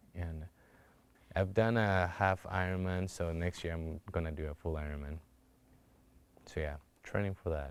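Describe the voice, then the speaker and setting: A man with a Spanish accent speaks at a moderate pace and a very deep, low pitch. His intonation stays fairly even, broken by long, frequent pauses. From Colombia. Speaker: cancer survivor. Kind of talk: testimony.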